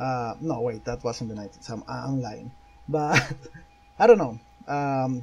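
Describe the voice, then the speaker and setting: Over noticeable background noise, a man with a non-native accent talks at a medium pitch and a fairly slow pace, with ordinary pitch variation, big swings in loudness, and long, frequent pauses. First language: Spanish. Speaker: YouTuber interviewer. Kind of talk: interview. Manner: halting.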